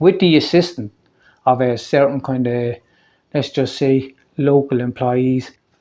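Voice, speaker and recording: Speaking with a Waterford Irish accent, a man has a fairly high pitch. His pitch variation is ordinary. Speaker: local activist vlogger. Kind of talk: personal video update. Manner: fast.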